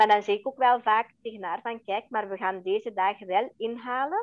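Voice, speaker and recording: A woman speaks in a plain, everyday voice at a moderate pace. Her pitch is fairly high, with ordinary variation. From Belgium (Flanders), adopted from India at age four. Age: 40s. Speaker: interview guest, adoptee and mother. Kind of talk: personal testimony in interview. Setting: podcast interview.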